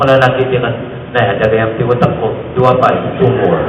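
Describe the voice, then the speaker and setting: A man speaks at a medium pitch with fairly even intonation and a moderate pace. Background noise can be clearly heard. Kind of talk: humorous homily.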